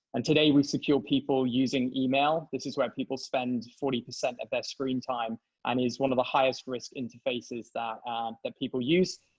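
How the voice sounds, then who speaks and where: A man with a British accent speaks at a medium pitch and a moderate pace. His intonation is fairly even, and the sound is dry and close with no echo. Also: hardly any pauses. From England. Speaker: tech company CEO and co-founder. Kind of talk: interview.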